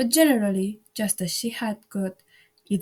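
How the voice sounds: Pitch varies in an ordinary way in this natural reading voice. Behind it, the background stays quiet.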